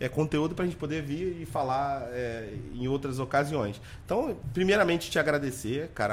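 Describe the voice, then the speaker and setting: A man talks at a fairly quick pace. His voice sits fairly high, with ordinary pitch variation. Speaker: podcast host. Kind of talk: casual interview. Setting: studio with cameras. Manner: loud.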